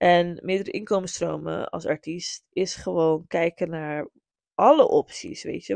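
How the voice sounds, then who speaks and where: A woman at a fairly slow pace, in a dry, close sound with no echo and a quiet background. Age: 30s. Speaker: podcast host and music business legal advisor. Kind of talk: solo podcast monologue. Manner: animated; frequent code-switching to English.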